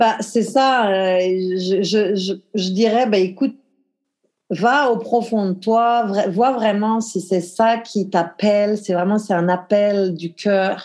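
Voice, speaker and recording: A woman talks very slowly, her voice at a medium pitch with fairly even intonation. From France, the Alps. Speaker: language teacher and coach. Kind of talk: casual chat.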